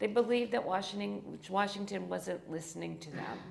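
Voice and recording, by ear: A woman with an American accent has a raspy voice at medium pitch. Vocal fry creeps into her speech. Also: ordinary pitch variation, moderate pace.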